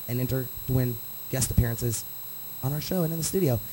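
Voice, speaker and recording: A man speaks in an energetic tone. Noticeable background noise is present. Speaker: webcast DJ show host and producer. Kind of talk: live show hosting. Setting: studio. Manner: energetic radio announcer style.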